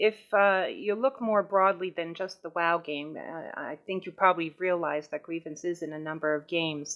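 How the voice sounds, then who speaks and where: A woman with a New York accent speaks at a moderate pace, her fairly low pitch held in a fairly even intonation. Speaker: gaming guild recruiting officer. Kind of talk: informational meeting talk. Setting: voice chat server.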